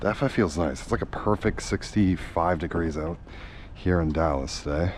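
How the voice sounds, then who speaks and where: A man speaks at a very deep, low pitch with vocal fry. He talks at a fairly quick pace with ordinary pitch variation. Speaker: car content creator. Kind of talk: casual vlog narration while washing car. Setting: outdoors.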